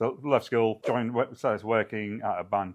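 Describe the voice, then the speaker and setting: A man talks at a fairly quick pace with a British accent. The background is quiet. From UK. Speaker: software company founder. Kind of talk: interview.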